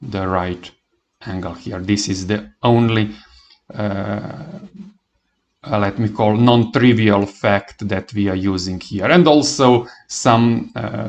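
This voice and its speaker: Very slow speech in a non-native accent, with long, frequent pauses and ordinary pitch variation. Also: man, fairly low pitch for a man. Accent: non-native English, noticeable. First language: not English. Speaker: math teacher. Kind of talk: lecture. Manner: halting, many fillers.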